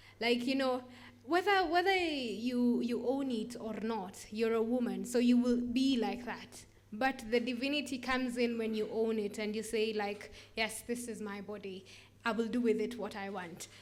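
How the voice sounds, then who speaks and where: Fairly high-pitched speech from a woman at a middling speed, normal pitch movement, noticeable room echo. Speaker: poet. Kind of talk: interview. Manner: loud.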